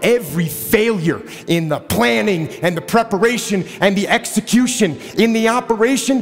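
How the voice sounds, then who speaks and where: Speaking with an American accent at a moderate pace, the voice has a passionate, intense tone and very wide pitch swings, with music playing in the background. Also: man. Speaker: retired Navy SEAL officer, motivational speaker. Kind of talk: motivational speech. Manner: passionate, assertive, intense.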